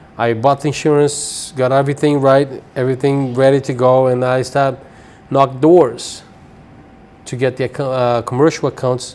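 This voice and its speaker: A man with a Brazilian accent speaks at a moderate pace. His medium-pitched voice is monotone and flat. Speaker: cleaning business owner. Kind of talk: interview.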